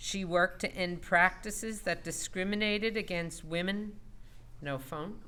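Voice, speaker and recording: A woman speaks loudly at a medium pitch and a moderate pace. Her tone is bright and sharp, her intonation fairly even. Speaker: award presenter. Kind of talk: award introduction.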